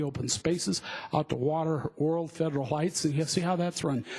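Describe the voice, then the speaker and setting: Speaking at a very fast pace with fairly even intonation, a man with an American accent has a fairly high pitch. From US West, Denver, Colorado. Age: 60s. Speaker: public commenter at city hearing. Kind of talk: public testimony at hearing. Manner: halting, with many fillers.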